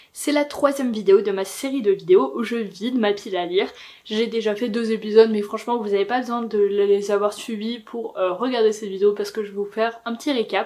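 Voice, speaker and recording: Against noticeable background noise, a woman speaks at a fairly quick pace with a fairly high pitch and ordinary pitch variation. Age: 20s. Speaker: booktuber. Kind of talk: casual talk to camera.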